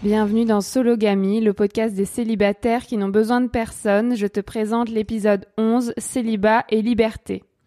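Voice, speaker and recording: In a very clean recording with a silent background and a dry, close sound with no echo, a woman speaks at a moderate pace in a fairly high pitch with monotone, flat intonation. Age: 20s. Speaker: podcast host and journalist. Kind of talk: scripted narration; interview.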